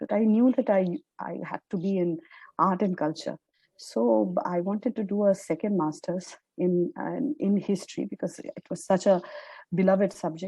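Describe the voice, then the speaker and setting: A woman with a Bengali accent speaks at a moderate pace and medium pitch, in a dark, mellow, somewhat breathy tone. Her intonation is lively, and the sound is dry and close with no echo. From India, Calcutta. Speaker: journalist and author. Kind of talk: interview.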